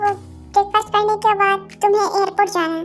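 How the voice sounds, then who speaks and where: Doing a put-on character voice at an extremely high pitch, a woman speaks at a fairly quick pace in a monotone, flat way over clear music in the background. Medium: audio drama. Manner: scolding, emotional.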